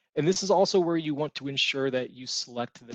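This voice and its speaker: A soft-spoken man talks with lively intonation. The sound is dry and close with no echo, over a quiet background. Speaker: mortgage servicing presenter. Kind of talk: webinar presentation. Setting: conference call webinar.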